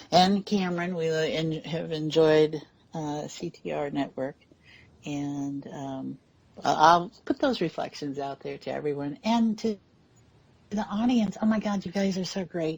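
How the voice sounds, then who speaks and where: In an ordinary speaking voice, a woman talks at a fairly slow pace. Her pitch sits fairly low, and her intonation is lively. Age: 60s. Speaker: radio talk show co-host. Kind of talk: casual chat.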